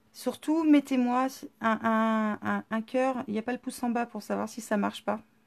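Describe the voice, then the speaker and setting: A woman's fairly high voice, with fairly even intonation, is captured on a very clean recording against a silent background. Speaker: scrapbooking workshop presenter. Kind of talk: live-stream tutorial.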